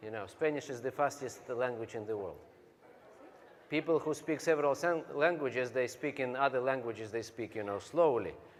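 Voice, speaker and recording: With a Russian accent, a man speaks fairly quickly at a medium pitch and with ordinary pitch variation. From Siberia, Russia. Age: 40s. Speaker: business speaker. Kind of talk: motivational speech.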